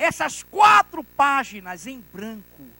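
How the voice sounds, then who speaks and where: In a raised, projected voice, a man speaks at an extremely high pitch with very wide pitch swings. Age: 60s. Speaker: pastor. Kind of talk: sermon. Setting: church.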